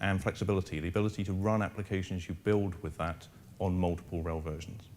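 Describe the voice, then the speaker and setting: A man's very deep, low voice with an English accent, very fast in pace and fairly even in intonation. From England, London. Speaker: engineering manager. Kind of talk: conference presentation.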